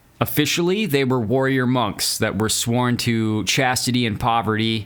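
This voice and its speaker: A man's medium-pitched voice at a moderate pace, with ordinary pitch variation and very even loudness, over noticeable background noise. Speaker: history podcast host. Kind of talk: podcast monologue on history.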